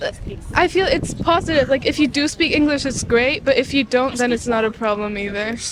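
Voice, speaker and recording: Over noticeable background noise, a woman with a high pitch and lively intonation speaks at a fairly quick pace. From France. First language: French. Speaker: street interview interviewee. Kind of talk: casual street interview. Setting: outdoors street interview.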